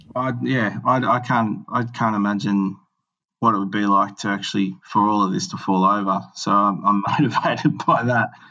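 At a moderate pace, a man with an Australian accent speaks in a fairly low, bright, sharp tone with ordinary pitch variation over a quiet background. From Australia, northern New South Wales. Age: 30s. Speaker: entrepreneur. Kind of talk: interview. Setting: remote recording from Melbourne. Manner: halting, many fillers.

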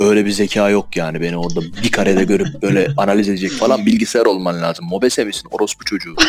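A man with a fairly low pitch talks at a very fast pace. He hardly pauses, and noticeable background noise is present. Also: ordinary pitch variation. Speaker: anonymous podcast guest. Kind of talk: casual chat.

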